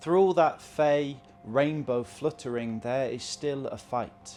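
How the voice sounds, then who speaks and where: With music in the background, a man speaks at a fairly slow pace. His pitch is medium, with ordinary variation. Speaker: spoken word poet performing a written piece. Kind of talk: spoken word poetry performance.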